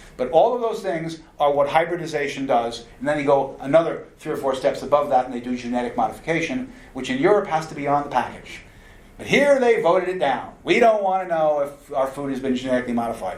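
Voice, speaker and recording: Lively intonation marks a man talking at a very fast pace. Audible room echo surrounds his voice. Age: 60s. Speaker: nutrition lecturer. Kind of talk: lecture.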